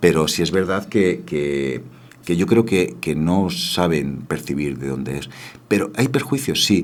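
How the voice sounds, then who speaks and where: Speaking at a fairly slow pace, a man uses a very deep, low pitch with vocal fry and very wide pitch swings. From Spain, Granada (Andalusia). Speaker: dubbing studio founder and voice actor. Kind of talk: radio interview.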